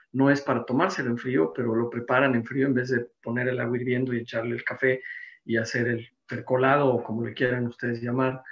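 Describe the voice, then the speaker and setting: A man with a plain, everyday voice talks at medium pitch and a fairly quick pace, his intonation fairly even. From Mexico City. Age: 60s. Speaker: insurance and business consultant, seminar presenter. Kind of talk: seminar presentation.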